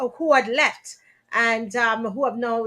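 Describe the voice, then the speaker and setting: In a very clean recording with a silent background, a woman speaks at a high pitch in a Jamaican accent. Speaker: talk show host. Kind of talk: live stream talk show. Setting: live stream.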